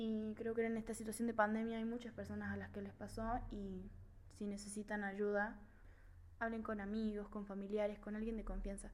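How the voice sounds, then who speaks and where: At a moderate pace, the monotone, flat delivery comes with audible room echo and noticeable background noise. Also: woman, fairly high pitch for a woman. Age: 20s. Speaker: film podcast host, communication student. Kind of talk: casual monologue film review.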